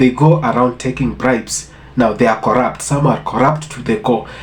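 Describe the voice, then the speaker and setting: Noticeable background noise behind a male speaker at a moderate pace. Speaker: reaction commentator. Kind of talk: casual talk to camera.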